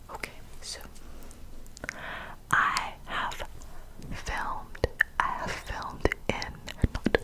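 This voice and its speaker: A very slow whisper comes through noticeable background noise. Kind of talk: ASMR whispered secret-telling ramble. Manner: close cupped whisper.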